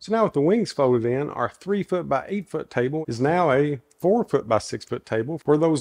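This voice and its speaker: A man with an American accent at a moderate pace, very wide pitch swings, and a dry, close sound with no echo. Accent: Southern Kentucky accent, deep but toned down. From US South, Kentucky. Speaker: woodworking YouTuber. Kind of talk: tutorial; casual chat. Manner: casual, folksy.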